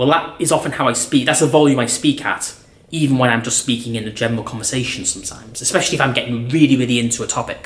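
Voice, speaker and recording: Noticeable background noise runs behind this recording. A man talks at a very fast pace with a medium pitch. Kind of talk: talk to camera. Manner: loud; animated.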